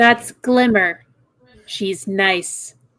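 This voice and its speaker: A female-sounding, put-on character voice delivers a stern tone at a medium pitch. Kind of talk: gentle but firm. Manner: stern, motherly.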